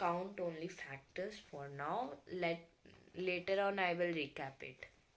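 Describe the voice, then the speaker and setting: A woman's medium-pitched voice moves along very slowly. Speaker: science teacher. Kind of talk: lecture. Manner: halting, with many fillers.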